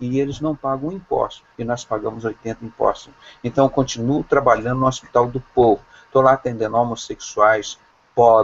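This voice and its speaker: A man's voice at a medium pitch. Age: 60s. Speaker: doctor and evangelical preacher. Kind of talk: preaching in an online video call. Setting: video call. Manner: impassioned, denunciatory.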